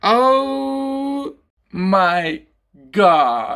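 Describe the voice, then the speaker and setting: This put-on character voice sits at a middle pitch and makes very wide pitch swings. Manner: small, cute narrator voice.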